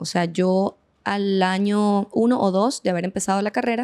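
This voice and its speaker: Recorded with a dry, close sound and no echo, a woman speaks at medium pitch. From Venezuela. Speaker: veterinarian and clinic owner. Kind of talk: podcast interview.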